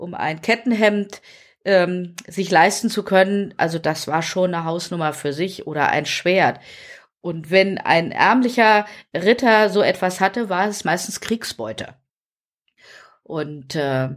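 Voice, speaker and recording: Set against a silent background, the very clean recording carries an unremarkable speaking voice. The delivery is fairly slow, with ordinary pitch variation. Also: woman. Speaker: nurse and medieval reenactor. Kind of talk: casual chat.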